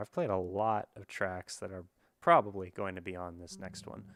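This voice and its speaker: Quiet and fairly low-pitched, a man speaks at a moderate pace on a very clean recording with a silent background. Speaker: musician streamer. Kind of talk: casual livestream chat. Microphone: very close to the microphone.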